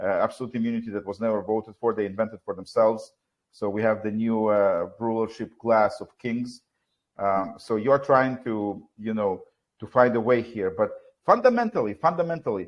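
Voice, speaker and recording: A man talks with a non-native accent. His voice sits at a medium pitch. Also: ordinary pitch variation, moderate pace. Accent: foreign. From Soviet Union. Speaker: talk show host. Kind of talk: live talk show discussion. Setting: live stream. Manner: halting, with many fillers.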